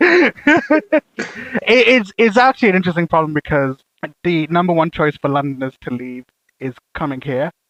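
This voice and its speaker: With a Birmingham accent and a high pitch, a man makes very wide pitch swings in a dry, close sound with no echo. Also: moderate pace. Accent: Birmingham (Brummie) English. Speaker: podcast host. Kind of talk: casual chat.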